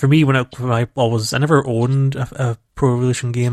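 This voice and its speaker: Speaking at a very fast pace in a Scottish accent, a man holds a medium pitch with monotone, flat intonation, the sound dry and close with no echo. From Scotland. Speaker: video game podcast co-host. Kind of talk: casual chat.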